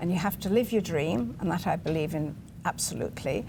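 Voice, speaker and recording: The speaker uses a British accent and keeps a moderate pace. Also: woman. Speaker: TV show guest. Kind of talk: interview.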